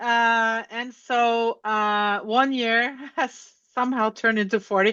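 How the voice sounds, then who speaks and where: The voice has a bright, sharp tone and monotone, flat intonation. It moves at a very slow pace against a quiet background. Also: woman. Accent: Norwegian. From Norway, Oslo. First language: Norwegian. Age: 60s. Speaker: author and educator. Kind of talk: interview conversation.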